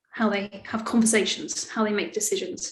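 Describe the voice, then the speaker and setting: A somewhat breathy woman's voice, fairly high in pitch, at a fairly quick pace with fairly even intonation. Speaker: service design speaker. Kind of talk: webinar talk.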